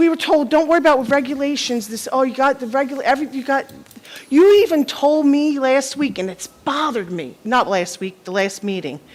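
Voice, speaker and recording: Over noticeable background noise, a woman talks at a fairly quick pace. Her high voice has lively intonation and big swings in loudness. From South Jersey. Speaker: resident speaking at public comment. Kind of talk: public comment at council meeting. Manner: loud, forceful; halting, many restarts.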